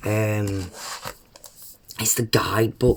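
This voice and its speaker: The speaker has a British accent and a monotone, flat delivery. Noticeable background noise runs throughout. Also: woman. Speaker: tarot reader. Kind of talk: live stream chat. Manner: casual, filler-heavy.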